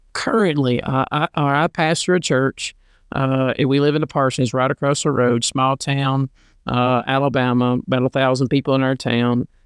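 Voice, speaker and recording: Recorded very cleanly against a silent background with a dry, close sound and no echo, a man with a normal speaking voice talks at a moderate pace and medium pitch, his intonation fairly even and his loudness very even. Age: 40s. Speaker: pastor and podcast co-host. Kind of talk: casual chat. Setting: home, on a love seat.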